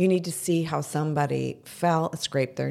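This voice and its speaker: The delivery keeps a moderate pace with fairly even intonation. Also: woman. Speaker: podcast co-host. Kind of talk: casual chat.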